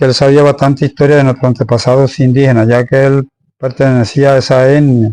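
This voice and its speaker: A man speaks at a medium pitch and a moderate pace in a dark, mellow tone. The sound is dry and close with no echo, over a quiet background. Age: 60s. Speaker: local tradition bearer and former tomb excavator. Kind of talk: interview. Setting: interviewee's home.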